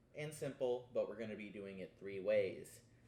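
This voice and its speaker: Medium-pitched male voice with a dark, mellow tone, at a moderate pace. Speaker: cooking show host and podcaster. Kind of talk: casual cooking vlog. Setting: home kitchen. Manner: hesitant, many fillers.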